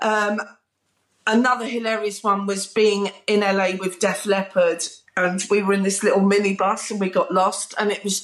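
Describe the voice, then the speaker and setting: In a British accent, a woman talks at a moderate pace and a medium pitch. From southern England. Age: 40s. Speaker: music TV presenter. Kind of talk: casual interview chat. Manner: animated.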